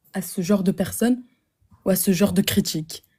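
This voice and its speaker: Somewhat breathy and dark, mellow in tone, a woman's medium-pitched voice moves at a moderate pace. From Flemish Belgium. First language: Dutch (speaking French). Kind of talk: online debate with a stranger. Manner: hesitant.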